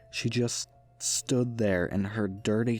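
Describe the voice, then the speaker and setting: Fairly low male voice, very slow pace and fairly even intonation over music in the background. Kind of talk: creepypasta narration, first-person horror story reading.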